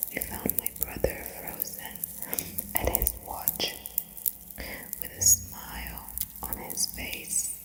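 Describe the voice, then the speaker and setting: The words come out as a whisper, very slowly. Background noise is noticeable. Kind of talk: whispered ASMR book reading for sleep. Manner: whispered, clicky mouth sounds.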